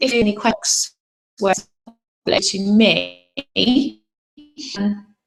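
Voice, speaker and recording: Over music in the background, a woman speaks at a very slow pace and medium pitch, with fairly even intonation and long, frequent pauses. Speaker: parenting coach. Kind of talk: webinar. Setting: video call. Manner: hesitant.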